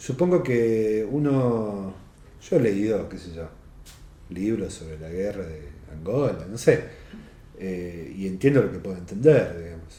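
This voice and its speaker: In a room with audible echo, a man with an Argentine accent speaks in a fairly low, dark, mellow, somewhat breathy voice with lively intonation and long, frequent pauses. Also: fairly slow pace, big swings in loudness. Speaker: novelist. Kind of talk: interview.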